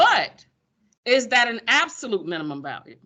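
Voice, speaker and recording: A woman with a Pensacola accent speaks in a bright, sharp, animated tone, her pitch swinging very widely. Her pace is moderate and the background is quiet. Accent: Pensacola Florida speech. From US South, Pensacola, Florida. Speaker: high school math teacher. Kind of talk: classroom lecture. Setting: classroom with students. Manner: animated, conversational.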